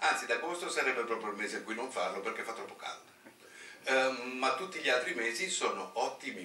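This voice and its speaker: The man speaks at a very fast pace with big swings in loudness. Audible room echo colors the recording. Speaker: marine biology professor. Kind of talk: conference talk. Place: hall. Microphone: podium.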